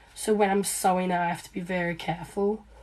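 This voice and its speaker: Speaking in an Australian accent, a woman keeps a medium pitch and a moderate pace with flat, monotone intonation. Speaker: small business owner, seamstress. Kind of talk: live stream chat while sewing. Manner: casual, many fillers.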